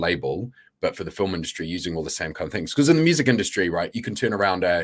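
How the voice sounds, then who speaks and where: Over a very clean recording with a silent background, a man talks at a very fast pace with a fairly low pitch and lively intonation. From New Zealand. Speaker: film producer and former music label founder. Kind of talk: conference panel interview.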